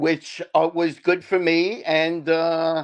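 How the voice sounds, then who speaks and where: A man with a New York accent speaks fairly slowly in a high, flat monotone, the sound dry and close with no echo and music in the background. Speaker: divorced father, show guest. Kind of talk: interview. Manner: halting, many fillers.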